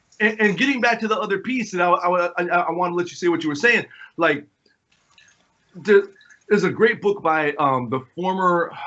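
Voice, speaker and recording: An animated speaker with an American accent talks at a moderate pace with ordinary pitch variation. Long pauses come often. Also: man, high pitch for a man. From western New York, near Buffalo. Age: 40s. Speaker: percussionist and music producer. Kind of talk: casual podcast conversation. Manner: animated, repetitive false starts.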